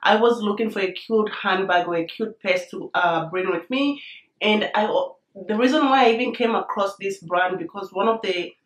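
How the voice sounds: A woman speaks at a medium pitch and a moderate pace, with ordinary pitch variation. Room echo is audible.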